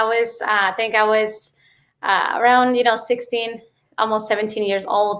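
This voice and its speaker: With a Mexican accent, a woman talks at a moderate pace. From Mexico. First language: Spanish. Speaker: real estate investor. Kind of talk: interview. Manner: many fillers and hesitations.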